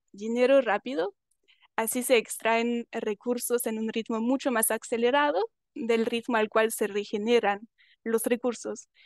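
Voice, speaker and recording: A woman with a non-native accent and a fairly high pitch speaks at a fairly slow pace in a monotone, flat intonation. The sound is dry and close with no echo, against a quiet background. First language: not Spanish (speaking Spanish). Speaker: panelist working with rural schools. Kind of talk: panel talk with slides. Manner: halting, with fillers and self-corrections.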